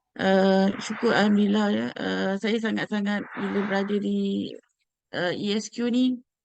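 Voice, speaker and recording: Someone talks at a fairly slow pace with a Malaysian accent. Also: woman. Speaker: HR and finance staff. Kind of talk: interview. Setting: video call. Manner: halting.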